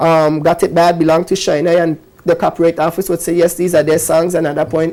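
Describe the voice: A man speaks at a fairly quick pace, his pitch fairly high with little movement. His tone is slightly mellow.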